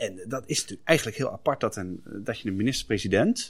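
On a very clean recording with a silent background, a man with a plain, everyday voice speaks at a fairly low pitch with lively intonation. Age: 40s. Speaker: podcast co-host. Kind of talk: casual chat.

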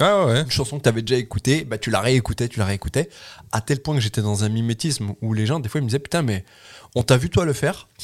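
At a very fast pace, a man speaks at medium pitch with lively intonation and a somewhat breathy quality, in a very clean recording with a silent background and a dry, close sound with no echo. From France, Loire. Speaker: comedian. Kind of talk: casual chat.

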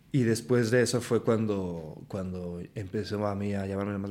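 The speaker has a central Mexican accent, a dark, mellow tone and fairly even intonation. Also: man. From Mexico, Aguascalientes. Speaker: actor and singer. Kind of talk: casual chat.

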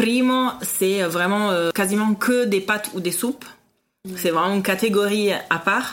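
In an Italian accent, the speaker goes at a fairly slow pace with very even loudness and ordinary pitch variation. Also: woman, medium pitch for a woman. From Italy, Parma. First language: Italian (speaking French). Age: 30s. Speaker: food podcast guest, expatriate. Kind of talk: casual interview.

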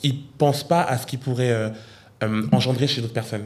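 A man talks fairly quickly at a medium pitch. His pitch varies in an ordinary way. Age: 20s. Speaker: YouTuber. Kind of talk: casual chat. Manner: animated.

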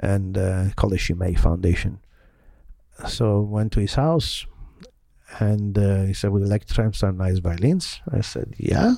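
A man with an Italian accent at a fairly low pitch, dark and mellow in tone, at a moderate pace with ordinary pitch variation and long, frequent pauses. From Italy, Milan. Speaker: violinist. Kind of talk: interview.

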